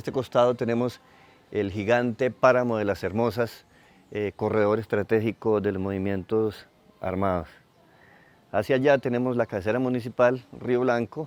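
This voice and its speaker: In an ordinary speaking voice, a man of medium pitch speaks at a moderate pace with fairly even intonation. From Colombia, southern Tolima. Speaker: community leader. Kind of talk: testimony.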